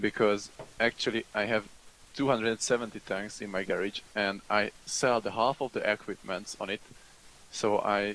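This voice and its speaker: A man's fairly low, monotone voice with flat intonation and a Hungarian accent, dry and close with no echo. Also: moderate pace. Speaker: online game community representative. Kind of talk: group discussion. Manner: halting.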